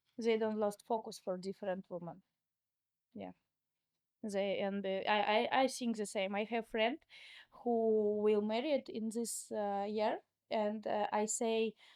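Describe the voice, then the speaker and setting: In a dry, close sound with no echo, a woman with a Russian accent speaks at a fairly slow pace and a fairly high pitch, her intonation fairly even and her pauses long and frequent. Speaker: entrepreneur. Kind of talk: interview conversation. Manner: halting.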